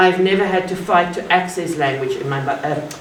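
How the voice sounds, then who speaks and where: In a South African accent, a woman speaks at a moderate pace with a fairly low pitch and fairly even intonation, with audible room echo and noticeable background noise. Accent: Afrikaans South African English. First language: Afrikaans. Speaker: academic speaker. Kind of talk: public talk. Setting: art gallery event with audience.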